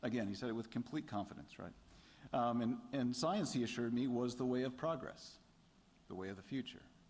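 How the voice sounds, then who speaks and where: Talking at a fairly quick pace, a man with an American accent and a medium-pitched voice uses ordinary pitch variation, with audible room echo around him. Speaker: theology lecturer giving a response. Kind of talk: lecture response remarks. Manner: halting, many fillers.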